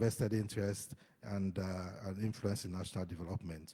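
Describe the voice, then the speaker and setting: Somewhat breathy with a dark, mellow tone, a man speaks at a fairly quick pace on a very clean recording with a silent background. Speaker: conference panelist. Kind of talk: conference presentation.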